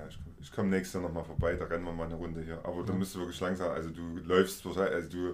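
A man talks very fast in a very deep, low pitch. Audible room echo surrounds his voice. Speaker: podcast host. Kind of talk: casual interview. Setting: visiting guest in person.

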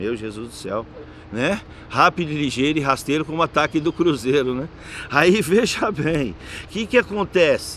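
With an animated tone and very wide pitch swings, a man speaks at a moderate pace in a fairly high pitch over noticeable background noise. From Jandira, São Paulo state, Brazil. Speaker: local politician, city councillor. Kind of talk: casual storytelling interview. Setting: outdoor public leisure area.

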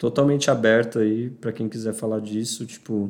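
Medium in pitch, this man has an unremarkable speaking voice. He talks at a moderate pace. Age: 20s. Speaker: guest, adoptee sharing his story. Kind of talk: casual chat. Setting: at a friend's house, informal home recording.

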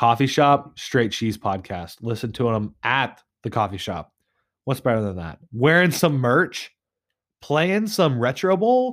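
With an American accent, a man speaks fairly slowly at medium pitch, his voice making very wide pitch swings. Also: very clean recording, silent background. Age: 20s. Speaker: podcast host. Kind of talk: casual solo chat.

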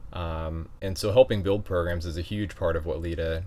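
At a moderate pace, the voice comes across somewhat breathy, with a dark, mellow tone. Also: man. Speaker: podcast host and association vice president. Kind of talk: casual interview conversation.

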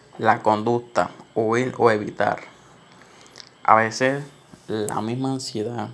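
A man's medium-pitched, monotone voice with flat intonation, at a very slow pace with long, frequent pauses. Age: 20s. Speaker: podcast host. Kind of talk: solo monologue on anxiety. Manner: casual, hesitant with fillers.

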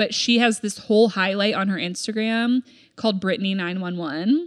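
A woman's normal speaking voice at a medium pitch and a fairly quick pace. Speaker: podcast co-host. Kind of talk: casual chat.

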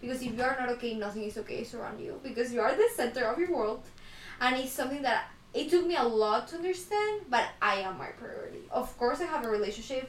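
A woman talks at a very fast pace in a high pitch, with very wide pitch swings. Noticeable background noise is present. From Ecuador. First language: Spanish. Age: 20s. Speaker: podcast host, student. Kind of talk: casual chat.

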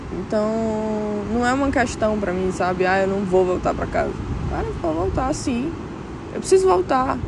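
A woman speaks at a fairly slow pace with ordinary pitch variation. Audible room echo and noticeable background noise surround her voice. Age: 20s. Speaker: podcaster. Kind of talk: reflective monologue. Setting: outdoors at a beach. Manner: emotional.

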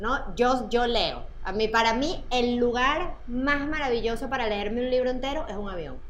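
A woman talks at a high pitch and moderate pace with ordinary pitch variation and hardly any pauses. Noticeable background noise and audible room echo fill the clip. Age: 40s. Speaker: podcast host and journalist. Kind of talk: casual chat.

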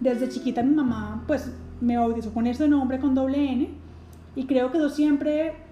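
The voice has a dark, mellow tone, a moderate pace and fairly even intonation. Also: woman. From Colombia. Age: 20s. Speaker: podcast host, psychologist. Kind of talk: casual monologue. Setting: at home.

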